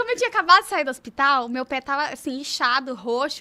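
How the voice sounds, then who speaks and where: A high-pitched woman speaks in a raised, projected voice at a very fast pace. Her tone is bright, sharp, and animated, with ordinary pitch variation. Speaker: podcast co-host interviewing a surgeon. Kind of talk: casual chat.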